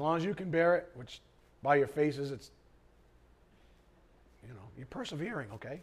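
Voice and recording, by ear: A put-on character voice, raspy and hoarse, with lively intonation, a fairly quick pace and long, frequent pauses. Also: man, fairly high pitch for a man.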